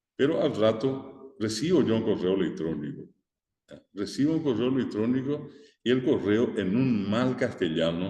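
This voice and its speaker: A man with a Paraguayan accent, medium in pitch, dark and mellow in tone, with lively intonation, a fairly slow pace, and audible room echo. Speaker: teacher. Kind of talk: lecture.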